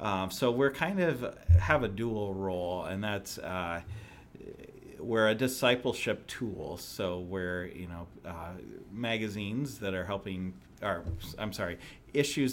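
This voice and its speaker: With an American accent, a man speaks fairly slowly in an unremarkable speaking voice, his fairly low pitch showing ordinary variation. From US Midwest, southern Illinois near St. Louis. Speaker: magazine editor. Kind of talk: interview.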